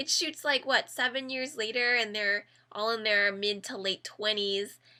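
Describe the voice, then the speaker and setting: With music in the background, a woman talks at a fairly slow pace with ordinary pitch variation. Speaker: YouTuber reviewing Korean dramas. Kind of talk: casual talk to camera, drama review.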